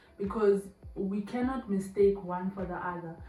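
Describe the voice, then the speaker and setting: Over noticeable background noise, a woman speaks at a medium pitch and a moderate pace. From Zimbabwe. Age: 20s. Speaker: YouTuber. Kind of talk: casual talk to camera.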